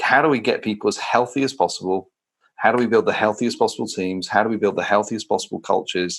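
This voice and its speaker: A man with a southern English accent talks at a very fast pace. The recording is very clean, with a silent background. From England. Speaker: leadership consultant and co-founder. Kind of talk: podcast interview.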